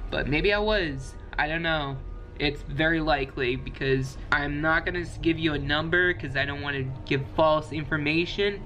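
At a moderate pace, a man talks with fairly even intonation against light background noise. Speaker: video creator. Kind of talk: casual vlog chat. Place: home room. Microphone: webcam.

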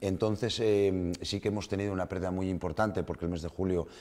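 Very deep and low in pitch, a man's dark, mellow voice moves at a very fast pace with fairly even intonation. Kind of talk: interview answer. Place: studio.

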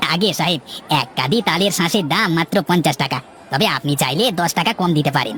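In a cartoonish character voice pitched high, a man speaks at a moderate pace with lively intonation and very even loudness over clear background noise. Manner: friendly, eager to please.

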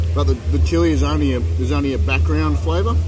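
Recorded dry with no echo, a man's voice comes through with noticeable background noise. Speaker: food vlogger. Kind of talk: casual vlog chat. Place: cafe.

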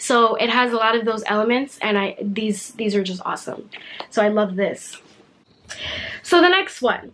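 With an American accent, a woman speaks at a moderate pace and fairly high pitch, with ordinary pitch variation. Her speech has long, frequent pauses, and there is noticeable background noise. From United States. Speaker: booktuber. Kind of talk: casual talk to camera.

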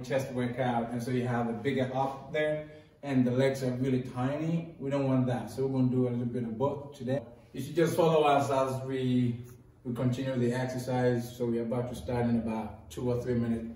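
A man talks at a moderate pace in a monotone, flat intonation, with audible room echo around him. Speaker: workout instructor. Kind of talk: tutorial. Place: gym.

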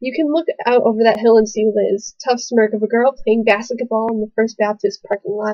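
The background is quiet as the woman talks with fairly even intonation. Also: fairly quick pace, hardly any pauses. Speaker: college student. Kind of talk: poetry reading. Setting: webcam recording. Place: home room. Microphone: webcam.

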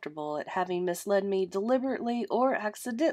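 Pitch shifts in an ordinary way as the text is read in an unforced voice.

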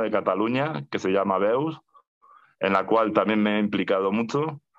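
A quiet background behind speech at a moderate pace. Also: man. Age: 40s. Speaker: mental health activist. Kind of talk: testimony; personal testimony in webinar. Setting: video call. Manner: halting, with frequent repetitions and fillers. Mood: calm, reflective. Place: home room. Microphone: video call.

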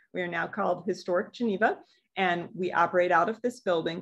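A woman speaks at a fairly quick pace with ordinary pitch variation over a quiet background. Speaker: museum educator. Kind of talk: lecture. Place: office. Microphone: webcam.

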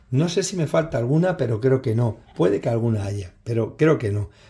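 Somewhat breathy, a man with a dark, mellow tone talks at a moderate pace using lively intonation. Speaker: knife collector reviewer. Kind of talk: casual product showcase. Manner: halting, with many fillers. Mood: calm, frank.

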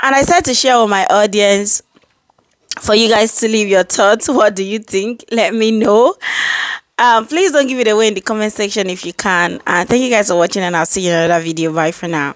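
Lively intonation marks a woman speaking at a fairly quick pace. The sound is dry with no echo and the background is quiet. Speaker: commentary video creator. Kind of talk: commentary intro and outro addressing viewers. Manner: casual, chatty, enthusiastic. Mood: animated, expressive. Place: home room. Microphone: phone near.

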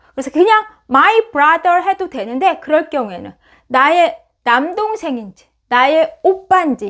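A woman's extremely high voice with very wide pitch swings at a fairly slow pace, on a very clean recording with a silent background. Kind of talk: lecture.

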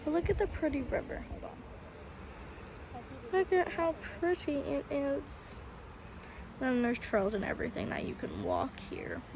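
A woman with an American accent talks at a fairly slow pace amid noticeable background noise. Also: dry sound with no echo. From Florida. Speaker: vlogger. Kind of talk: casual travel vlog narration. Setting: outdoors. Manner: animated. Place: street. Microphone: phone near.

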